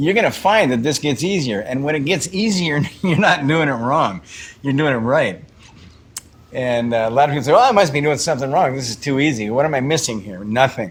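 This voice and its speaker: Fairly high male voice at a fairly quick pace, with lively intonation over noticeable background noise. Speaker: meditation teacher. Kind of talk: guided meditation talk. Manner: repetitive, halting.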